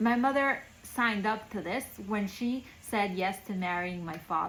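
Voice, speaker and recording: A somewhat breathy woman with a Spanish accent, a medium pitch and ordinary pitch variation. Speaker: storyteller recounting her childhood. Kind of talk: personal storytelling monologue. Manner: casual, conversational with many fillers.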